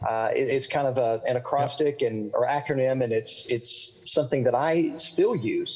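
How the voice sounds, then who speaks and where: A man's fairly high voice at a fairly slow pace, with ordinary pitch variation and a slight Southern accent. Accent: slight Southern, milder than local drawl. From US South, central Florida. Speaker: pastor and author; pastor. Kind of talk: interview. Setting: video call. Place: home room. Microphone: video call.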